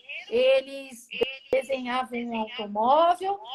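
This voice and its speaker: Through noticeable background noise, a woman speaks very slowly in a high pitch with lively intonation. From Brazil. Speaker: automotive smell expert, retired engineer. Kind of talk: interview, explaining her work. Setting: Instagram live video call.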